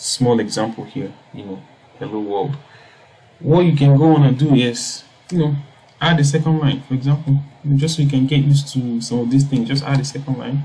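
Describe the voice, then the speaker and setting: A man talks at a moderate pace, with a fairly high pitch and ordinary pitch variation. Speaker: coding tutorial youtuber. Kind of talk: tutorial. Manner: hesitant, many fillers.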